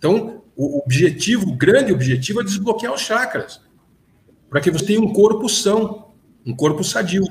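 A man's high-pitched voice swings very widely in pitch as he talks at a fairly slow pace. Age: 60s. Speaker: businessman and consciousness researcher. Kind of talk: casual interview.

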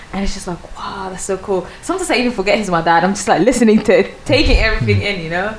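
Delivered very fast with hardly any pauses, the voice shows ordinary pitch variation and big swings in loudness over noticeable background noise. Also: woman, medium pitch for a woman. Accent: Swedish. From Sweden, small city. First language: Swedish. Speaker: content creator and architecture student. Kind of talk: casual chat. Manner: halting.

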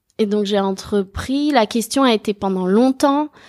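A woman's fairly high voice at a fairly slow pace, with ordinary pitch variation, in a dry, close sound with no echo and a very clean recording over a silent background. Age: 30s. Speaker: self-employed pastry chef. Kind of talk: casual interview.

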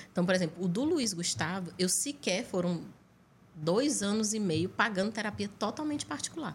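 Somewhat breathy and with lively intonation, the speaker talks at a moderate pace in a Piauí accent. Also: woman, medium pitch for a woman. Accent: Northeastern Brazilian (Piauí) Portuguese. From Piauí, Brazil. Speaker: chef and nurse, cooking show finalist. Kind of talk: podcast interview.

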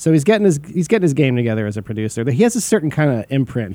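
A fairly high-pitched man with a dark, mellow tone, going at a very fast pace. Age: 40s. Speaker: music podcast co-host and touring musician. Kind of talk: casual chat.

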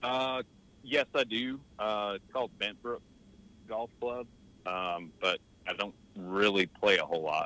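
Using a fairly low pitch, a man moves at a fairly slow pace with ordinary pitch variation and long, frequent pauses. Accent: Southern US. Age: 30s. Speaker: amateur golfer. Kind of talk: casual interview. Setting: remote call.

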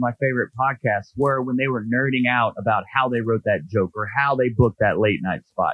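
In an American accent, a man talks at a fairly quick pace with a normal speaking voice, medium pitch and ordinary pitch variation. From North Georgia, US South. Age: 30s. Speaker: stand-up comedian and podcast host. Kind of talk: casual interview chat. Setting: video call. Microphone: phone-like Zoom audio.

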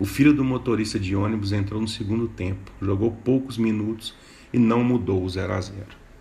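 His voice is fairly low in pitch, with a dark, mellow tone and a somewhat breathy quality. The man speaks at a moderate pace with fairly even intonation. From Minas Gerais, Brazil (Mariana). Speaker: podcast host, journalist and writer. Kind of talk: scripted narration of chronicles.

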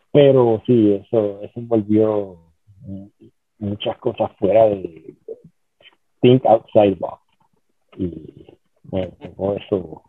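A man with a fairly low pitch speaks at a very slow pace, with long, frequent pauses, fairly even intonation and big swings in loudness. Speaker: former pro wrestler and championship belt maker. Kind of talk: interview. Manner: halting.

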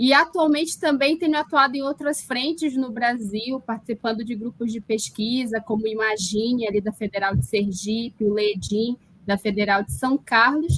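In an ordinary speaking voice, a woman with a fairly high pitch talks at a moderate pace with ordinary pitch variation and hardly any pauses, the sound dry and close with no echo. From Brazil, Amazonas (Parintins). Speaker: linguistics professor. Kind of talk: interview on live political show.

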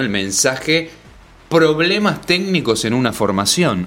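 Pitched fairly high, a man speaks with very wide pitch swings. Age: 40s. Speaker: podcast guest. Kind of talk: casual chat. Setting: studio.

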